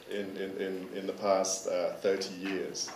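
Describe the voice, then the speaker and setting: Noticeable background noise and audible room echo surround the recording. A man speaks at a very slow pace. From partly Netherlands, Thai ties. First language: Dutch. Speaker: curator. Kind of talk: conference presentation. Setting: forum with interpreter, microphone. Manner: halting, many repetitions and fillers.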